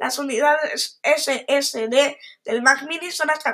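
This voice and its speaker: The voice is raised and projected, with a bright, sharp tone. Its intonation stays fairly even. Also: woman. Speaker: tech podcaster. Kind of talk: reading aloud. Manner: halting.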